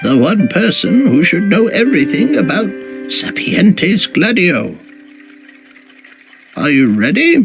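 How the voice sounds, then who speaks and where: Using a put-on character voice, a man with a high pitch and very wide pitch swings talks at a fairly slow pace with long, frequent pauses over faint background music. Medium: video game. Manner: measured, thoughtful.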